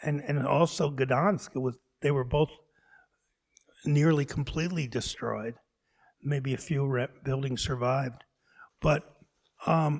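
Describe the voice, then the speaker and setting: A man with an American accent, his pitch fairly high, his intonation fairly even, at a fairly slow pace with long, frequent pauses. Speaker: urban planner, visiting professor. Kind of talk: lecture Q&A answer. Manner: halting, many false starts.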